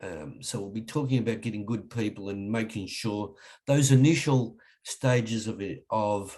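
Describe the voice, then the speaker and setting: A fairly low-pitched man with an Australian accent at a fairly slow pace. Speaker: leadership trainer. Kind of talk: webinar presentation. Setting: online webinar. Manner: hesitant, many fillers.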